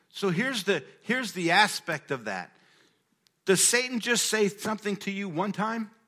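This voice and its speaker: In a raised, projected voice, a man speaks with a high pitch and a bright, sharp tone. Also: ordinary pitch variation. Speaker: pastor. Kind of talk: sermon. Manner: fast.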